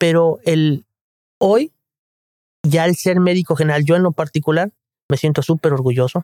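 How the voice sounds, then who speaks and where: A man's fairly high voice at a moderate pace, fairly even intonation, dry and close with no echo. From Guadalajara, Mexico. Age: 50s. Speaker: general practitioner. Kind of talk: interview.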